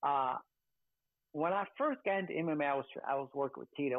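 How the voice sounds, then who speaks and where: In a quiet background, a man speaks with a fairly high pitch and ordinary pitch variation. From US Midwest (Chicago, then Grand Rapids, Michigan); Michigan. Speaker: boxing trainer and cutman; boxing trainer. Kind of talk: interview. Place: home room. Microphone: video call.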